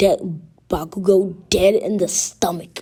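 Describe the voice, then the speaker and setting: At a fairly slow pace, a woman speaks in a somewhat breathy, dark, mellow tone at medium pitch, her intonation monotone and flat. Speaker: fan fiction storyteller. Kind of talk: improvised fan story narration. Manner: halting, many fillers and restarts.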